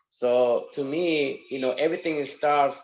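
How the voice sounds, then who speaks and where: This man speaks with a non-native accent. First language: not English. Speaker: sergeant major, panel guest. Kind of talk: online panel discussion. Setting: on a phone call into online session.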